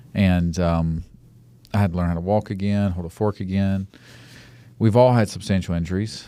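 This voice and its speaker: This man has an Alabama accent and a fairly low pitch. The recording is very clean, with a silent background. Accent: Southern US (Alabama). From US South, Mobile, Alabama. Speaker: podcast host. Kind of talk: casual interview chat. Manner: halting.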